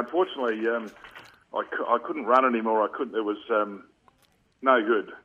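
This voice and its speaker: Long, frequent pauses break up this man's speech. He talks with an Australian accent. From Western Australia, Perth (Subiaco). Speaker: former Australian rules footballer and coach. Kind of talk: radio interview.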